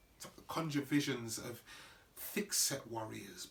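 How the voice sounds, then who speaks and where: Lively intonation carries a very slow delivery over noticeable background noise. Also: man. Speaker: actor. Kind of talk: theatrical monologue reading.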